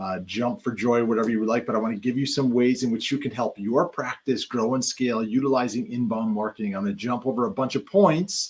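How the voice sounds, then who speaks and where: Speaking very fast, a man keeps a medium pitch with ordinary pitch variation. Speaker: chiropractor and practice marketing coach. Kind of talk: presentation on marketing.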